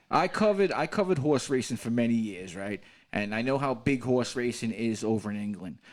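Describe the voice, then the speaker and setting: A man with a New York accent talks at a fairly quick pace and medium pitch. His intonation is lively, on a very clean recording with a silent background. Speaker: podcast host. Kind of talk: casual chat.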